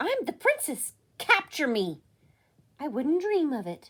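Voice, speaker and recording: A put-on character voice from a woman, high-pitched and squeaky, at a fairly slow pace. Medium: read story. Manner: switching between dainty and brash.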